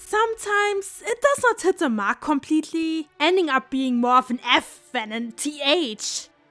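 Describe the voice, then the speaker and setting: A woman with a German accent, high-pitched with very wide pitch swings, hardly any pauses, a dry, close sound with no echo, and music in the background. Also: moderate pace. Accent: German accent, stereotypical. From Germany. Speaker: video essayist. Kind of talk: video essay commentary. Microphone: poor audio quality.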